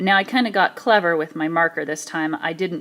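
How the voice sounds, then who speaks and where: Fairly low-pitched woman at a fairly quick pace, ordinary pitch variation, very clean recording with a silent background. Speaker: math teacher. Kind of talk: tutorial. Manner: fast.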